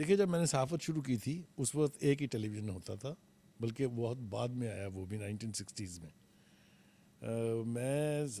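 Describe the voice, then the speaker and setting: The tone is dark and mellow, and the pace is moderate. Pitch variation is ordinary. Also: man. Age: 70s. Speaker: veteran journalist and TV analyst. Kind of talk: interview.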